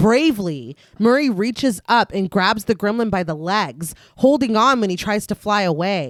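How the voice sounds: It is a natural reading voice throughout.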